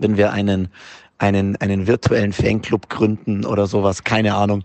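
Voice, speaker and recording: A man speaks at a moderate pace in a fairly low, flat, monotone voice. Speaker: football fan. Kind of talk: voice message. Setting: in a car.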